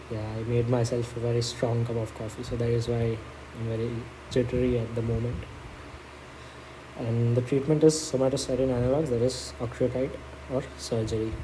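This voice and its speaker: Medium-pitched male voice at a fairly quick pace, fairly even intonation, long, frequent pauses, audible room echo and noticeable background noise. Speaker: medical exam study tutor. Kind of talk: tutorial. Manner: fast.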